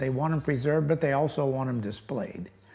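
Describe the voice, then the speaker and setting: A man talks in a fairly high voice with ordinary pitch variation while music plays in the background. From US Midwest, west-central Illinois. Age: 70s. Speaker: local historical society officer. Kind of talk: interview. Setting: museum. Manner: halting, many fillers.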